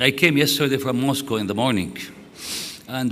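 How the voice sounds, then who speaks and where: A man with an Arabic accent speaks with ordinary pitch variation over noticeable background noise and audible room echo. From Syria. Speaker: conference speaker. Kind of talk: conference talk. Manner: halting.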